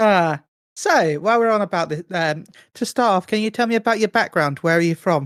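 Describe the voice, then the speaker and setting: Spoken at a fairly quick pace in a British accent, the clip is a very clean recording with a silent background. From Britain. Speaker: podcast co-host. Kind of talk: casual interview.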